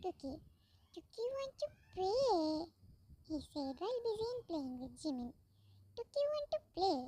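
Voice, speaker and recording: Doing a put-on character voice, a woman squeaks at an extremely high pitch with very wide pitch swings, keeping a moderate pace broken by long, frequent pauses, in a dry, close sound with no echo. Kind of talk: fan fiction read-aloud. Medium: read story. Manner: reads speaker names aloud.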